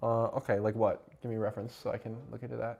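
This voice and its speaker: A man with an American accent keeps to a moderate pace. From United States. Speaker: live streamer. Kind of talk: casual livestream chat reacting to chat and clips. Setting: livestream away from home. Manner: quieter than usual, holding back volume.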